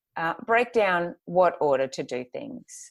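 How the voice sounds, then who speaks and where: A woman with an Australian accent at a very slow pace. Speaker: graphic designer and planner business owner. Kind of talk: podcast interview. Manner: hesitant, many fillers.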